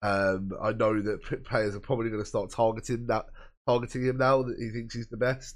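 A man with a southern English accent talks fairly quickly at a medium pitch, his intonation monotone and flat. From Brighton area, England. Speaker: football podcast co-host. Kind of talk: casual chat.

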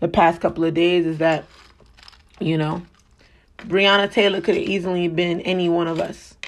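A woman's fairly low voice with vocal fry, flat and monotone, at a moderate pace. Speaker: podcast host. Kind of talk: casual podcast monologue. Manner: casual.

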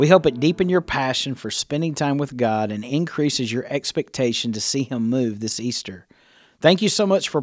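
With an ordinary speaking voice, a man at a medium pitch talks at a fairly quick pace and with lively intonation, recorded very cleanly against a silent background. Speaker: prayer program announcer. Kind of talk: scripted intro and outro narration. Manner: formal, calm, welcoming.

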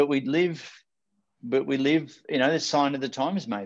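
With an Australian accent, a man speaks at a medium pitch. The background is quiet. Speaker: motivational speaker and life coach. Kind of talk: interview. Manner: animated.

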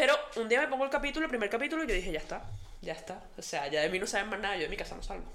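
Audible room echo surrounds a woman with a fairly high pitch. She talks very fast, her pitch swinging very widely. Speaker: podcast co-host. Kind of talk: casual chat.

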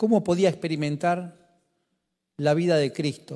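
A man's high-pitched voice, dark and mellow in tone, in a Rioplatense accent. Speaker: pastor. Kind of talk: sermon. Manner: animated.

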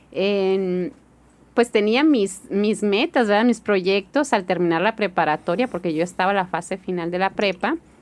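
With ordinary pitch variation, a woman's medium-pitched voice unfolds at a fairly slow pace. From Hermosillo, Sonora, Mexico. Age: 40s. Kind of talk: interview testimony.

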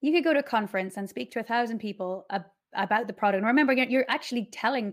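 The speaker talks at a very fast pace in an Irish accent. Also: woman, very clean recording, silent background. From Ireland, County Wicklow. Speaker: developer advocate. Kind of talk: casual chat. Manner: animated.

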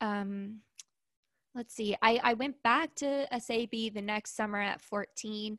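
A fairly high-pitched woman's voice, the intonation kept fairly even. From Southern California. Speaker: podcaster and former ballet dancer turned entrepreneur. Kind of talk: casual interview. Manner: slow, thoughtful speaker.

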